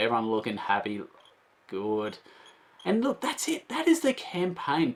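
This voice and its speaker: A man with an Australian accent. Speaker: board game reviewer. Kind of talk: casual video review. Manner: animated.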